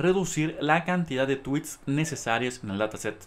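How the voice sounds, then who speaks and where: Lively intonation runs through this speech in a Mexican accent. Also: man. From Mexico. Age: 20s. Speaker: graduate student researcher. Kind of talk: conference presentation.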